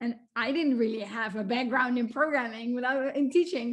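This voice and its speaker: A woman with a Dutch accent talks at a fairly quick pace in a high pitch. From Netherlands. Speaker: computer science researcher. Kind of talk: lecture.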